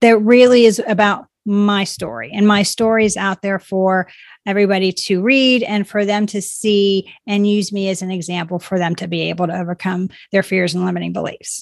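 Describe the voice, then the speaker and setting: A woman's medium-pitched, unremarkable speaking voice at a moderate pace, with ordinary pitch variation, in a very clean recording with a silent background. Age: 50s. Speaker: life coach and author. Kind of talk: interview conversation.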